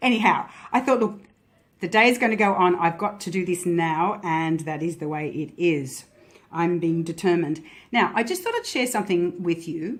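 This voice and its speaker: In an Australian accent, a woman talks at a moderate pace with a fairly low pitch. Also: ordinary pitch variation. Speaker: tarot and Lenormand card reader. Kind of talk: card reading vlog. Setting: handheld camera. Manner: pausing.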